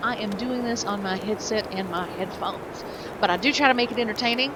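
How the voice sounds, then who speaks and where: Fairly quick speech from a woman with a Southern US accent, a fairly high pitch, and ordinary pitch variation, over noticeable background noise. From US South. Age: 40s. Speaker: gaming video creator. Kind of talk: gameplay commentary. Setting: home recording. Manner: halting, many fillers.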